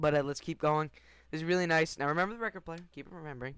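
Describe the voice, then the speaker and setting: An animated man's voice, fairly high-pitched, at a very fast pace, in a dry, close sound with no echo. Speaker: gaming YouTuber. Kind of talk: casual video commentary.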